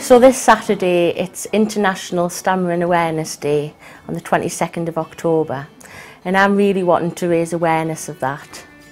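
A woman's fairly low voice at a fairly quick pace, with ordinary pitch variation and faint music in the background. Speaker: company employee. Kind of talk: interview answer. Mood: earnest, positive. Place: office. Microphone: lapel.

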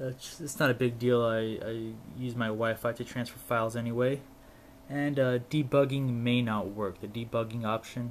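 A man speaks in a flat monotone. His pace is moderate, with light background noise behind him. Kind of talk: casual tech demo. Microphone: camera far.

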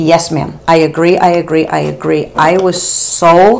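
A woman's plain, everyday voice, fairly low in pitch, with fairly even intonation, a fairly slow pace and light background noise. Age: 50s. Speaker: beauty vlogger. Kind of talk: casual chat. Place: home room.

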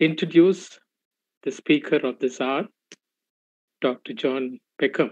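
The man talks very slowly, and the background is quiet. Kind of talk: formal introduction. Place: home room. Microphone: video call.

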